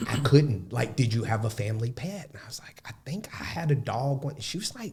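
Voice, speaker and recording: With an Alabama accent, a man of medium pitch talks with lively intonation and big swings in loudness. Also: fairly quick pace. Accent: Southern US (Alabama). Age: young. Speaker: podcast guest. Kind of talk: casual interview conversation.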